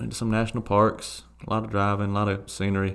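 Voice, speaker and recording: In a Southern US accent, a man speaks with a fairly low pitch and a monotone, flat intonation. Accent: Southern twang. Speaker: soccer podcast co-host. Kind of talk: casual chat.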